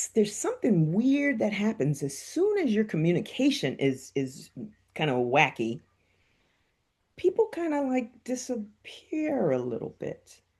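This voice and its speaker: A somewhat breathy woman with a fairly high pitch speaks at a fairly slow pace, her pitch swinging very widely, against a quiet background. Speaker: stroke survivor with aphasia; educator and aphasia advocate. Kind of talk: interview answer. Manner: hesitant, halting.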